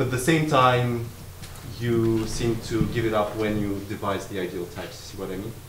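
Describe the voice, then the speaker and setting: Over noticeable background noise, a man talks at a moderate pace with fairly even intonation. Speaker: academic discussant. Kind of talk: academic commentary. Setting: seminar room with audience. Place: meeting room.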